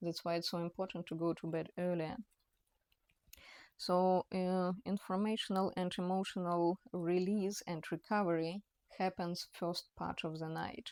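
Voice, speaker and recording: A woman speaks at a fairly slow pace with a fairly low pitch and monotone, flat intonation. The recording is very clean, dry and close, with a silent background and no echo. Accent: non-native. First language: not English. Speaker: personal trainer. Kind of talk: talking-head educational monologue. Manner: halting, many fillers and restarts.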